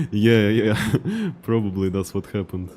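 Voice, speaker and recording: A man with a strong Russian accent speaks at a fairly low pitch. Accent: heavy Russian. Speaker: video game streamer. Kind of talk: live gameplay commentary with chat. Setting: live stream, reading chat.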